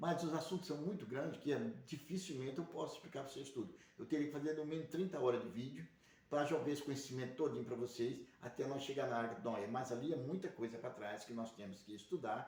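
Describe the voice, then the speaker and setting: Talking at a very fast clip, a man keeps his intonation lively. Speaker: religious livestream host. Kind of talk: religious teaching monologue. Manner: speaking quietly; rambling, repetitive.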